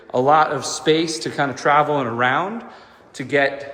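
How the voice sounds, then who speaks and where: In a room with audible echo and noticeable background noise, a man speaks at a moderate pace with fairly even intonation. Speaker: real estate agent. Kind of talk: home tour walkthrough narration. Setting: walking through a house, partly on outdoor deck. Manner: loud; casual, repetitive filler words. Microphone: AirPods mic, echoey room.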